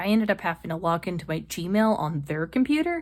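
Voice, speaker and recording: A woman speaks in an animated tone in a very clean recording with a silent background. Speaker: lifestyle vlogger. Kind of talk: casual vlog talk. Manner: fast.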